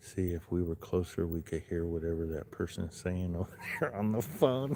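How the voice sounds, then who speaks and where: This man has an American accent and a very deep, low pitch, speaking quietly at a moderate pace with ordinary pitch variation. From Southern California, Los Angeles. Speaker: livestreamer. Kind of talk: live stream chat. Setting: outdoors.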